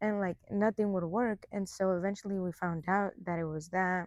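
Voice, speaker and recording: Against a quiet background, a woman with a Spanish accent speaks at medium pitch and a moderate pace, her intonation fairly even. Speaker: college soccer player. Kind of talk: interview. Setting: indoor sports facility.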